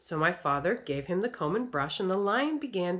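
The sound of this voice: The clip features an unforced reading voice with lively intonation.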